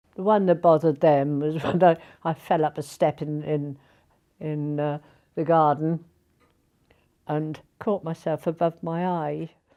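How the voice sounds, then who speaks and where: With a British accent, a woman speaks in a very deep, low pitch and dark, mellow tone, monotone and flat, at a fairly slow pace with long, frequent pauses over a quiet background. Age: 70s. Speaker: elderly interviewee. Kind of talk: interview testimony.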